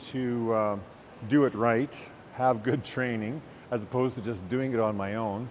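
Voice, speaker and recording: At a moderate pace, a man speaks at medium pitch with a Canadian accent. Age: 60s. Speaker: retired teacher, gym client. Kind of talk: testimonial interview. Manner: halting, many fillers.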